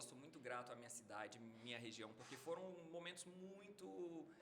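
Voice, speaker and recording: A man's bright, sharp tone with lively intonation, plus audible room echo. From northern Minas Gerais, Brazil (near Bahia border). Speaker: medical doctor. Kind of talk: casual podcast interview.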